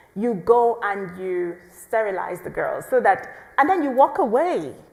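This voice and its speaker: Very wide pitch swings from a woman amid noticeable background noise. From Nigeria, southeastern. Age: young. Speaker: pro-life activist and biomedical scientist. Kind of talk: podcast interview. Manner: animated, passionate; halting, with restarts.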